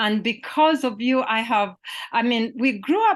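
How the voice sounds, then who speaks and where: A woman with a Ugandan accent speaks at a very slow pace, her pitch fairly high. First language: Luganda. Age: 50s. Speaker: poet and literature professor. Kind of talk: interview conversation. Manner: halting, many fillers and repetitions.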